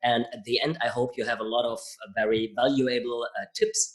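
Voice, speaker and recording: The pace is moderate. The speaker is a man in a German accent. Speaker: podcast host. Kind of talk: interview. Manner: halting.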